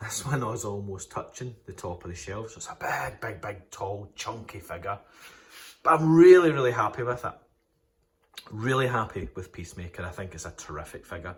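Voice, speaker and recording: Somewhat breathy and enthusiastic, a man with a Scottish accent speaks at a moderate pace in a fairly low pitch with lively intonation. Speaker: toy collector YouTuber. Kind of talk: casual product review vlog.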